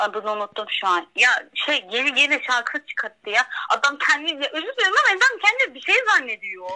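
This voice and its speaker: A woman with a high pitch speaks at a fairly quick pace in a raised, projected voice, her pitch swinging very widely. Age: 20s. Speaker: university student. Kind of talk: casual chat.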